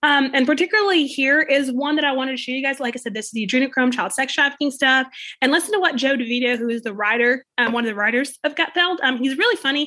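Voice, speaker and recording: Her high, bright, sharp voice is raised and projected, with ordinary pitch variation. The woman talks very fast with hardly any pauses. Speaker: podcast host. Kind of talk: casual commentary. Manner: hesitant, filler-heavy.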